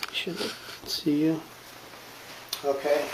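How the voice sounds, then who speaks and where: There is noticeable background noise as a man speaks at a very slow pace. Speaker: nurse practitioner student. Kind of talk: medical exam demonstration.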